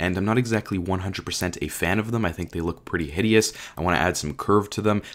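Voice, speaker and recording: Over a silent background in a very clean recording, a man speaks at a very fast pace with a very deep, low pitch and ordinary pitch variation. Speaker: gaming youtuber. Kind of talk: gameplay commentary. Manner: casual, filler-heavy; fast, rushed.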